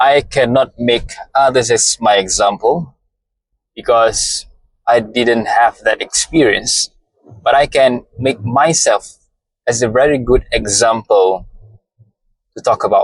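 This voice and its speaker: In a dry, close recording with no echo, a man with a Malaysian accent talks at a fairly slow pace with long, frequent pauses and very even loudness. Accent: non-native English, Malaysian. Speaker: motivational content creator. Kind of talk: motivational monologue.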